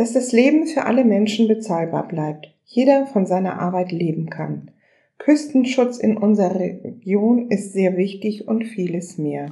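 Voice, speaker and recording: Somewhat breathy and dark, mellow in tone, a woman speaks at a fairly slow pace with lively intonation. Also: medium pitch for a woman. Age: 60s. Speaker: local politician. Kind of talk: prepared interview answers.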